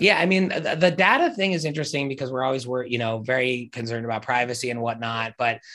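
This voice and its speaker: The speaker has an American accent and lively intonation. The tone is bright and sharp. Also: man. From New Jersey. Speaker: tech company founder. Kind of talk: interview.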